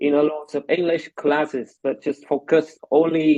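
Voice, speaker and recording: A man speaks with a fairly high pitch in a Vietnamese accent. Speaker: medical lecturer and English tutor. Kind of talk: casual interview. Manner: hesitant, many fillers.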